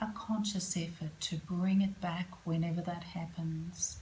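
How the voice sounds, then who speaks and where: A woman's medium-pitched voice in a calm, soothing tone, over noticeable background noise. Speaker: yoga nidra and meditation guide. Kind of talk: guided relaxation / yoga nidra. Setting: yoga studio. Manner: calm, slow, soothing.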